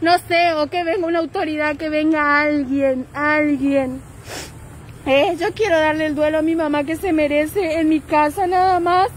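A woman with a high pitch speaks at a fairly slow pace and with fairly even intonation, her voice dry with no echo over light background noise. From Formosa, Argentina. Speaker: grieving relative making a public appeal. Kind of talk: live-stream appeal. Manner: urgent, pleading. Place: street. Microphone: phone near.

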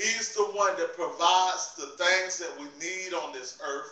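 With the room's echo clearly audible, this man delivers his words fairly slowly. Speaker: preacher. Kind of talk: sermon. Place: home room. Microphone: phone near.

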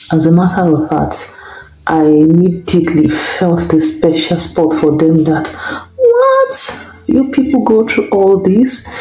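A woman with a Nigerian accent speaks at a very slow pace and a fairly low pitch, with lively intonation, very even loudness and audible room echo. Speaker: vlogger. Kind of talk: casual vlog monologue. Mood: sympathetic, concerned storytelling. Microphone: phone near.

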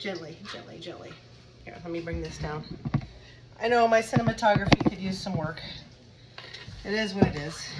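A woman with a fairly low pitch speaks at a moderate pace with ordinary pitch variation and long, frequent pauses over faint background noise.

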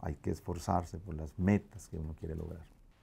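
A man talks in a dark, mellow tone with ordinary pitch variation. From Colombia, Cali. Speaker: tax business owner and community leader; interviewee. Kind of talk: interview. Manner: halting, with fillers. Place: office.

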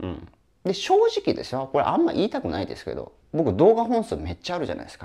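A man at a very fast pace, with big swings in loudness, over a quiet background. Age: 40s. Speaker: online business coach. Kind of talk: lecture-style solo video talk. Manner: casual, talkative, joking. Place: home room. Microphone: lapel.

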